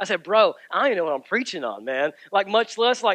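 A man speaks at a very fast pace in a raised, projected voice with a bright, sharp tone. The sound is dry with no echo, and the background is quiet. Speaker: pastor. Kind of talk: sermon. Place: church.

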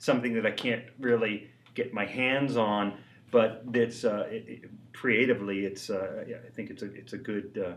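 A man's speech, moderate in pace and fairly even in intonation, comes through light background noise. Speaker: interviewee. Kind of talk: interview answer. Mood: reflective, light laughter. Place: workshop.

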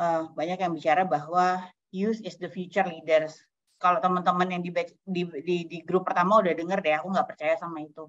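A woman talking very fast, with big swings in loudness. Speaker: humanitarian organisation youth official; webinar speaker. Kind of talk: online farewell speech. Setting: video call. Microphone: video call.

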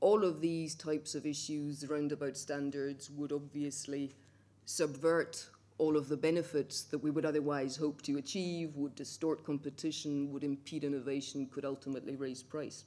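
A woman speaks at a moderate pace in a very deep, low pitch, with monotone, flat intonation. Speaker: speaker. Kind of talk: conference talk. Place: hall. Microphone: podium.

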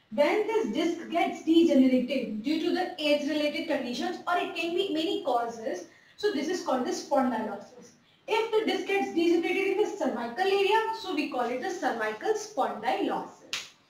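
Over light background noise and audible room echo, a woman speaks at a fairly quick pace with an extremely high pitch. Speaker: health educator. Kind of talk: lecture. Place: home room.

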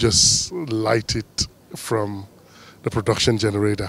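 The recording of a man has a dry sound with no echo. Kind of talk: interview answer. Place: street. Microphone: handheld.

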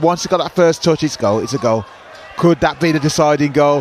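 A man at a fairly quick pace with ordinary pitch variation over noticeable background noise. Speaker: co-commentator. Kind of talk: sports commentary. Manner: enthusiastic, effusive praise; choppy, fragmentary analysis.

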